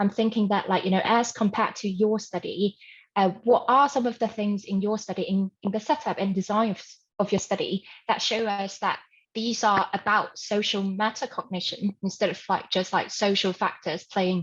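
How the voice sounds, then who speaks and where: A somewhat breathy woman speaks with fairly even intonation. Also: medium pitch for a woman. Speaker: conference audience member asking a question. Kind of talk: academic Q&A. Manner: fast; filler-heavy, hesitant.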